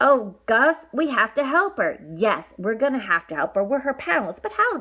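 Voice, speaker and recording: A woman does a put-on character voice at a high pitch. Her pitch swings very widely. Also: moderate pace. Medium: read story. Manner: repetitive.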